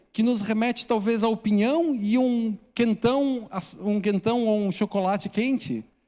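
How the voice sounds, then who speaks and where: This man has a high pitch and a dark, mellow tone, using ordinary pitch variation at a fairly slow pace in a very clean recording with a silent background. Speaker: missionary preacher. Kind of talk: sermon. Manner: halting, many repetitions and fillers.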